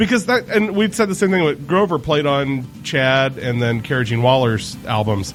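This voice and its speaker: Against noticeable background noise, a man speaks at a moderate pace with a fairly high pitch, very wide pitch swings and hardly any pauses. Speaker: podcast host. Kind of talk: casual interview chat.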